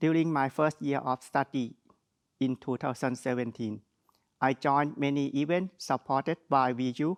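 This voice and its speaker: In a fairly high pitch, a man speaks with fairly even intonation and very even loudness. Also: moderate pace, dry, close sound with no echo, quiet background. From Thailand. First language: Thai. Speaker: graduate student speaker. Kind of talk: graduation speech. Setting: graduation ceremony. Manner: formal.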